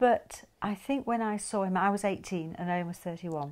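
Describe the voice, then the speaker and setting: This woman speaks at a medium pitch with a Yorkshire accent and ordinary pitch variation. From northern England, Yorkshire (Huddersfield). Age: 70s. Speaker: interviewee, married woman. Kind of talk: casual interview chat.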